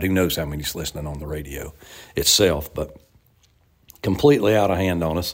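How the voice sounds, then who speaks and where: Speaking with an Appalachian accent, a man uses a very deep, low voice with ordinary pitch variation at a moderate pace. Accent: Southern US (Appalachian). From US South, western North Carolina. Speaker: bluegrass musician and radio host. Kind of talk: interview.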